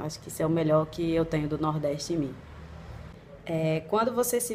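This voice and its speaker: A fairly low-pitched woman in a northeastern Brazilian accent, at a moderate pace. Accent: Brazilian northeastern (nordestino). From Northeast Brazil, Recife (partly raised in Portugal). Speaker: blogger and vlogger. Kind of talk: casual Q&A vlog.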